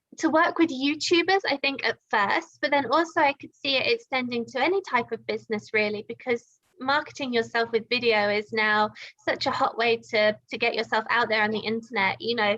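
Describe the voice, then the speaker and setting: With a British accent, a woman speaks in a high, bright, sharp tone with lively intonation. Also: fairly quick pace. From UK. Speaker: video editor and online teacher. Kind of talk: casual chat.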